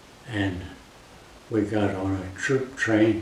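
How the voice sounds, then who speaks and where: Fairly low in pitch, a man talks very slowly in a monotone, flat way. Noticeable background noise runs behind him. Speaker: war veteran. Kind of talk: interview answer.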